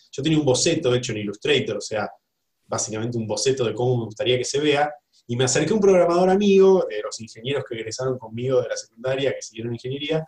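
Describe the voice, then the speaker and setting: Somewhat breathy, a man talks at a very fast pace with fairly high pitch and lively intonation. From Buenos Aires, Argentina. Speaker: graphic designer. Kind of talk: interview. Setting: video call.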